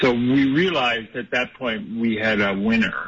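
Very wide pitch swings at a very slow pace. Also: man. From Toronto area, Canada. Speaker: mask company entrepreneur. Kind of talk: radio interview.

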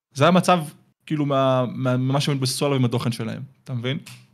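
At a fairly quick pace but with long, frequent pauses, a man speaks in a medium pitch with fairly even intonation. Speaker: YouTuber. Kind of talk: casual chat. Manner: fast.

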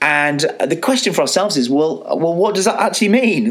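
With audible room echo and noticeable background noise, a man speaks at a moderate pace in a high pitch, making very wide pitch swings. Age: 40s. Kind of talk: solo religious teaching talk. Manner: casual, conversational with frequent fillers.

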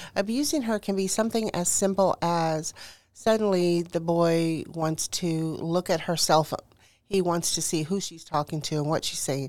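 A woman's ordinary speaking voice, with an American accent, fairly low pitch, ordinary pitch variation and a moderate pace. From Houston, Texas. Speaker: author. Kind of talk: interview.

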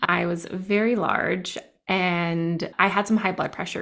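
A woman's fairly low voice with an American accent, an ordinary speaking voice with fairly even intonation. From New Jersey. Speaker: clinical social worker and therapist. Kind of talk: interview testimony.

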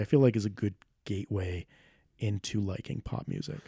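In a very clean recording with a silent background, a man with an American accent speaks at a fairly low pitch with ordinary pitch variation. His voice is somewhat breathy, with a dark, mellow tone. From Rhode Island, US. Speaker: filmmaker. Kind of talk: casual chat. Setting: home studio, in person.

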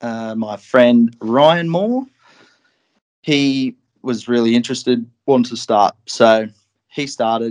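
Speaking very slowly with long, frequent pauses, a man uses a medium pitch and ordinary pitch variation. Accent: Australian. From Australia, Newcastle NSW. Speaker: commercial fly tier. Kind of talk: casual interview chat.

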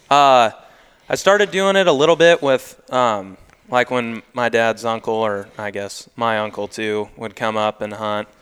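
Speaking with an American accent, a man uses an ordinary speaking voice at a medium pitch, keeping a fairly slow pace and lively intonation. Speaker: young farmer and duck guide. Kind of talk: casual chat.

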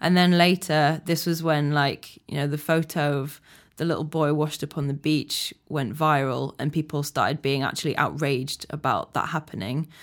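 A woman with a Yorkshire accent speaks at a moderate pace in a very deep, low pitch with fairly even intonation. The recording is very clean, with a silent background. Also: hardly any pauses. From Yorkshire, England. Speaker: activist. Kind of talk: casual chat.

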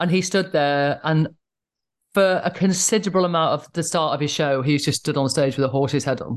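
Over a quiet background, a woman with a northern English accent speaks at a fairly quick pace in a very deep, low pitch, her loudness swinging widely. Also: ordinary pitch variation. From northern England. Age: 40s. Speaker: stand-up comedian. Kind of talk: casual chat. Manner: easy-going, earthy.

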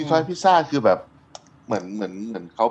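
This clip features a man's voice. Very wide swings run through his pitch. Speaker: chef and podcast co-host. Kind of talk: casual chat.

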